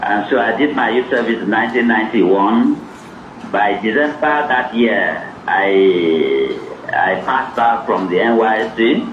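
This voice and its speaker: With audible room echo and noticeable background noise, a man talks at a fairly slow pace and very even loudness. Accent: Nigerian. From Nigeria, Cross River. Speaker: author and academic. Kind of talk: interview at a book event.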